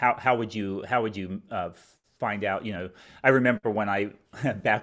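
A man's fairly low voice with an American accent, at a fairly quick pace and fairly even intonation, on a very clean recording with a silent background. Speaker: podcast host. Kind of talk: casual chat.

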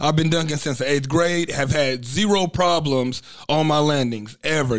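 Here is a man with an unremarkable speaking voice. His pitch is fairly high and his pace is moderate. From Texas, Dallas. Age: young. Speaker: professional wrestler and fitness coach. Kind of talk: casual interview chat. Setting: studio.

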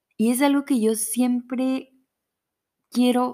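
A woman talks in an animated tone. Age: 20s. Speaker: podcast host. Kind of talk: personal faith reflection.

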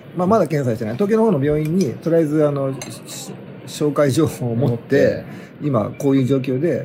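The room echo is audible as a man talks at a fairly quick pace. His pitch is fairly high and his intonation lively. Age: 50s. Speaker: podcast host. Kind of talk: casual chat. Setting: at a sauna.

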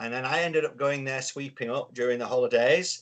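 A man speaks with a Yorkshire accent. He keeps a moderate pace. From Yorkshire, northern England. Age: 50s. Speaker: business consultant. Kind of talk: casual chat.

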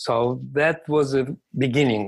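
Speaking with a Russian accent, a man uses a medium pitch and fairly even intonation. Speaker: sports scientist. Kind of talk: interview.

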